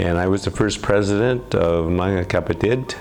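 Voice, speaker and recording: With an American accent, a man speaks at a moderate pace. Music plays in the background. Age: 70s. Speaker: student group founder, law graduate. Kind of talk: interview testimony. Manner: halting, many fillers.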